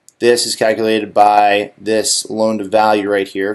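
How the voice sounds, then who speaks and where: Moderately paced, a man with an ordinary speaking voice talks at a medium pitch. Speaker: real estate lender. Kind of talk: tutorial.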